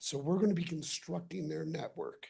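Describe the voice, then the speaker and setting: A somewhat breathy woman at a moderate pace. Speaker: utility contractor representative. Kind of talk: public presentation. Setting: city council meeting.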